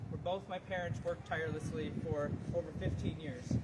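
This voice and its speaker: A man with a Wisconsin accent, high pitch, ordinary pitch variation and a fairly quick pace, with audible room echo and noticeable background noise. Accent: Upper Midwest (Wisconsin) American. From Wisconsin, Manitowoc. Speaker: politician and teacher. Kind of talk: campaign announcement speech. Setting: outdoors on courthouse steps with crowd. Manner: formal.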